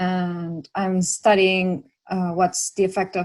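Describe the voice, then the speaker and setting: A woman with a Chilean accent speaks in a fairly low pitch. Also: very clean recording, silent background. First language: Spanish. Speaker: PhD researcher, session co-chair. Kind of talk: casual panel discussion.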